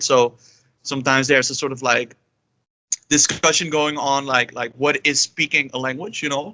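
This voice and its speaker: Here a man talks with a Dutch accent. His tone is bright and sharp. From Netherlands, Amsterdam. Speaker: polyglot and illustrator. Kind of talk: interview. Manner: halting, many fillers.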